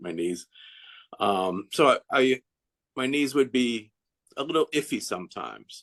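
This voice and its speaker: A man talks at a moderate pace with ordinary pitch variation. The sound is dry and close, with no echo. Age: 60s. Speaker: customer giving a testimonial. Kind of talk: testimony. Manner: halting, many false starts and fillers.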